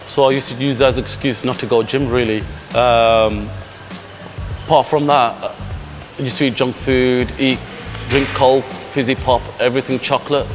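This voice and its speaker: Clear music plays in the background. A man speaks with fairly even intonation. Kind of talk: interview answer. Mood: earnest, reflective. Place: gym. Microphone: lapel.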